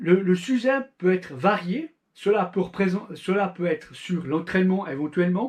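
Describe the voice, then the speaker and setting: Lively intonation from a man, high-pitched and fairly slow. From Switzerland. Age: 40s. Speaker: amateur endurance cyclist, YouTuber. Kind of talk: channel introduction monologue.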